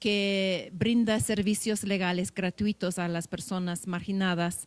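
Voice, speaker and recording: A woman talks at a fairly slow pace, and the recording is very clean with a silent background. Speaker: law professor. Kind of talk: panel presentation. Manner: halting.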